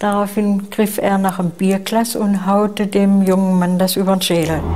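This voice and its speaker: A woman speaks at a moderate pace in a monotone, flat intonation, her loudness very even. Light background noise is present. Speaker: eyewitness interviewee. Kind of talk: interview answer. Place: home room. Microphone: lapel.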